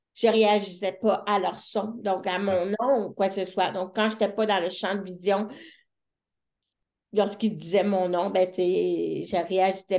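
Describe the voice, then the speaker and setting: In a Quebec accent, a woman speaks at a very slow pace and a medium pitch. Her intonation is monotone and flat. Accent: Québécois French. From Quebec City, Charlesbourg. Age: 30s. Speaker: deaf entrepreneur and speaker. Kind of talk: interview.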